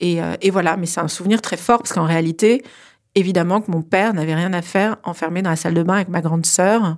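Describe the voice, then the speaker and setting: A woman's fairly low voice, very fast and fairly even in intonation, on a very clean recording with a silent background. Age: 40s. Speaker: incest survivor. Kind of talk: testimony. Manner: hesitant with fillers.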